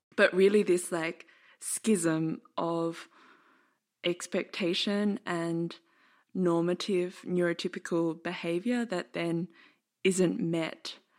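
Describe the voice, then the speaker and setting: A woman's fairly low voice in an Australian accent, very slow pace, fairly even intonation, long and frequent pauses, very clean recording with a silent background. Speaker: podcast host and dance artist. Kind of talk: casual chat; scripted narration.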